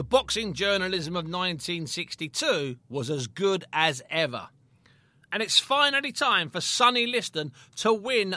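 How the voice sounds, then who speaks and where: High-pitched man in a British accent, raised and projected, with a bright, sharp tone, very wide pitch swings and a moderate pace, on a very clean recording with a silent background. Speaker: boxing historian and podcast narrator. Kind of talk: sports documentary narration. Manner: measured, storytelling, vivid scene-setting.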